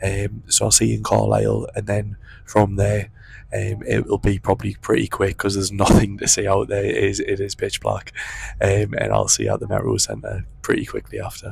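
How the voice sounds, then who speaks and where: Whispering at a moderate pace, a man speaks. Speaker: travel vlogger. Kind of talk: travel vlog narration. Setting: on a train; train station.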